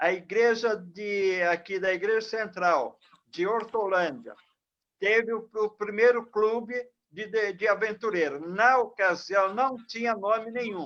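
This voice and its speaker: At a very slow pace, a man talks in a high voice. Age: 60s. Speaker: youth club pioneer. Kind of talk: interview. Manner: halting.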